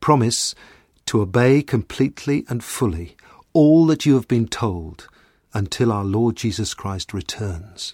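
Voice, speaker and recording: A man speaks at a fairly slow pace in a medium pitch, somewhat breathy, with lively intonation, his dry, close sound carrying no echo on a very clean recording with a silent background. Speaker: scripture reader. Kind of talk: reading aloud.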